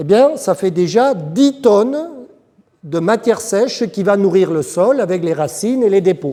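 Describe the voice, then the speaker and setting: A man speaks with a south-west French accent at a fairly slow pace. His pitch is high and his intonation lively. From south-west France. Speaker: agronomist consultant. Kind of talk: lecture.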